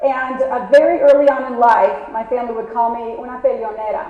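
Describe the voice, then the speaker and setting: A woman's high-pitched voice amid noticeable background noise and audible room echo. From San Diego, California (US-Mexico border), born in Mexico. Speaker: keynote speaker, business owner. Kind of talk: conference keynote. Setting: stage with audience. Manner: fast.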